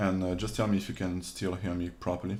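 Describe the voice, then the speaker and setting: Audible room echo around a man speaking at a fairly quick clip. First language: not English. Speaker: 3D modeling instructor / streamer. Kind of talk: livestream tutorial. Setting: livestream from home. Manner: halting. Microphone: reverb issues with streaming audio.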